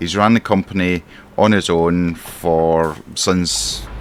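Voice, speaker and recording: A man with a Scottish accent speaks in a very deep, low voice with ordinary pitch variation over noticeable background noise. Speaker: gaming streamer. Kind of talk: roleplay commentary while playing a truck simulator. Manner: animated.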